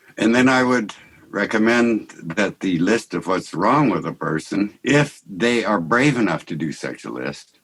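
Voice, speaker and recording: A man talks with a fairly low pitch and lively intonation. Vocal fry runs through his voice. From US West Coast, Santa Barbara. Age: 70s. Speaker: artist and mystic, podcast guest. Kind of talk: conversational interview. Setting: video call. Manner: halting.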